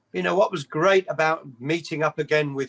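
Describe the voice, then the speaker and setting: A man with an English accent and a fairly high pitch speaks at a moderate pace with lively intonation, in a dry, close sound with no echo. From England. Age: 60s. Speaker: rock bass player. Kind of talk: interview.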